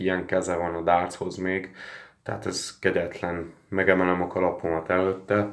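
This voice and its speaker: In a very deep, low voice, a man speaks at a fairly slow pace with monotone, flat intonation over a quiet background. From Hungary. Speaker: sports betting tipster; sports betting vlogger. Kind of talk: casual vlog monologue. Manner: hesitant with fillers. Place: home room. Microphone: phone near.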